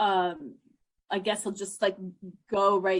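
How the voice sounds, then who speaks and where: Speaking in a New Jersey accent, a woman with a medium pitch keeps a monotone, flat delivery. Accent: American (New Jersey). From South Jersey, US (moved from Bombay at seven). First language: Hindi. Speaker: psychologist / mental health professional. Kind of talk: interview, personal life story. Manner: halting, many fillers and restarts.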